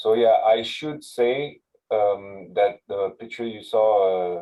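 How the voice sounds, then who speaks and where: A man with a French accent speaks at a fairly low pitch. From France. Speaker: university sustainability manager. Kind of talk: webinar presentation. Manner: halting, many fillers.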